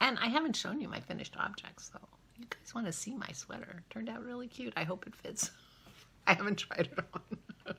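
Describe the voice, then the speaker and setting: A woman's fairly quick whispering, with big swings in loudness. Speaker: knitting vlogger. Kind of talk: casual vlog monologue. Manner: quiet, soft-spoken; hesitant, filler words.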